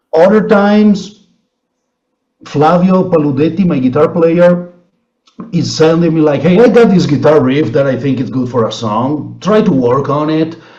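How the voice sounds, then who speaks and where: This man talks at a moderate pace with an Italian accent, his fairly high pitch carried by lively intonation. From Italy. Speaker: blues musician. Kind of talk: interview. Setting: video call.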